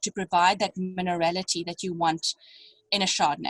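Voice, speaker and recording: Somewhat breathy, the woman's voice sits at a medium pitch and sounds dry and close, with no echo. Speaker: winemaker. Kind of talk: online wine tasting masterclass. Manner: halting, many fillers.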